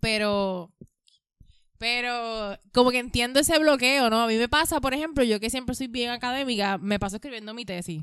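Speaking at a moderate pace, a woman with a high pitch and ordinary pitch variation comes through on a very clean recording with a silent background. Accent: Puerto Rican. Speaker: podcast co-host, educator. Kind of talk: casual chat.

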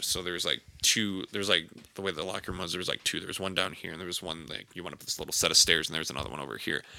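This man has a very deep, low voice with an American accent. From Wisconsin, Fox Cities area. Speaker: podcast co-host. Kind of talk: casual chat.

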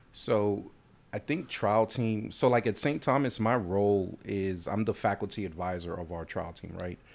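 A man's ordinary speaking voice, fairly low in pitch with ordinary variation, at a moderate pace on a very clean recording with a silent background. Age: 30s. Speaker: trial attorney and law school trial coach. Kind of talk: casual chat.

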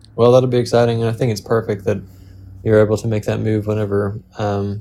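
Dark and mellow in tone, a man's medium-pitched voice holds a monotone, flat intonation. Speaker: podcast co-host. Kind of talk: casual chat.

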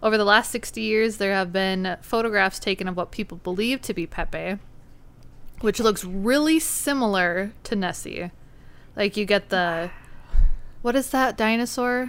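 In a very clean recording with a silent background, a woman speaks with a Minnesotan accent. Her medium pitch shows ordinary variation, and her pace is fairly slow. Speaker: podcast host. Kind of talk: casual chat.

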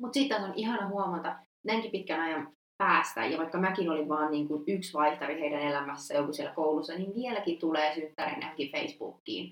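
Using an ordinary speaking voice, a woman talks at a fairly quick pace with a fairly low pitch and ordinary pitch variation. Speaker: history student, former exchange student. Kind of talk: casual chat. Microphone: poor sound quality.

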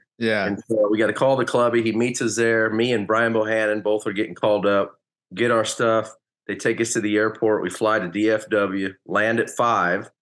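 The speaker holds a monotone, flat intonation at a moderate pace against a quiet background. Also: man, fairly low pitch for a man. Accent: American. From US West Coast, Hayward area of California, later rural Oklahoma. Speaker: former professional baseball player. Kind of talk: casual interview.

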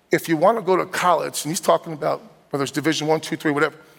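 With a New Jersey accent, a man talks in an animated tone at a high pitch. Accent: New Jersey twang. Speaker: guest preacher. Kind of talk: sermon. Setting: church.

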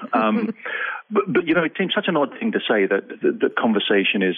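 A man with an English accent. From England. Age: 40s. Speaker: lawyer turned speaker. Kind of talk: interview. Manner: hesitant, filler words.

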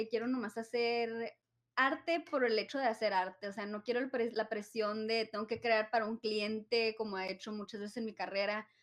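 At a moderate pace, a woman with a fairly high pitch talks in an ordinary speaking voice. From Nogales, Arizona–Sonora border. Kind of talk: casual chat.

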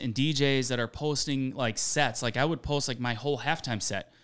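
A man talks in an unremarkable speaking voice at medium pitch with fairly even intonation. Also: very clean recording, silent background. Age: 40s. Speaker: DJ. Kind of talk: casual chat.

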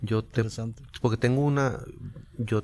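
Speaking at a fairly slow pace, a man uses a medium-pitched voice with a dark, mellow tone. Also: very clean recording, silent background. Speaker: jazz flutist and professor. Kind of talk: casual chat. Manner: halting.

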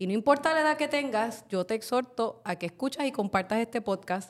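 A woman talks fairly quickly and with lively intonation, her pitch fairly high, in an ordinary speaking voice. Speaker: podcast host, journalist. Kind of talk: podcast discussion.

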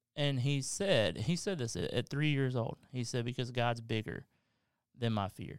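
A man with a Southern US accent at a moderate pace, ordinary pitch variation, in a very clean recording with a silent background. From Kentucky. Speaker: pastor. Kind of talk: casual chat.

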